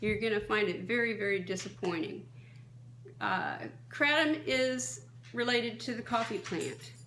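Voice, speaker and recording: Amid audible room echo, a woman with a bright, sharp tone and vocal fry talks at a moderate pace, her fairly high pitch swinging very widely between long, frequent pauses. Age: 60s. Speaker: kratom advocate, vlogger. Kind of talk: advocacy monologue. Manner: impassioned.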